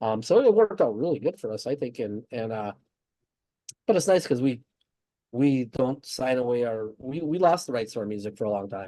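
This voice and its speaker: A man with a dark, mellow tone and medium pitch speaks at a fairly quick pace with lively intonation. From northern US. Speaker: thrash metal band member. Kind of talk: interview. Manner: halting, many restarts.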